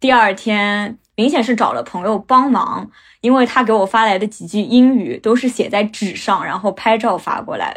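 A woman with a plain, everyday voice, a fairly high pitch, fairly even intonation and a moderate pace. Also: hardly any pauses, very clean recording, silent background. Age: 20s. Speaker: storyteller. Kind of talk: personal testimony.

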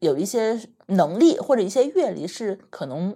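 Her voice dark and mellow, a woman speaks at a fairly slow pace with very wide pitch swings. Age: 30s. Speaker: podcast co-host. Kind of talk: casual chat.

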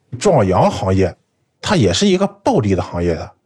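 In a very clean recording with a silent background, a man's somewhat breathy voice moves at a moderate pace through very wide pitch swings. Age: 30s. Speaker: food fraud fighter, food engineer. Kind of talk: first-person storytelling.

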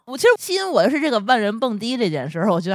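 This is a woman talking. Her pitch swings very widely. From Tianjin. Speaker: podcast host. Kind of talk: casual chat.

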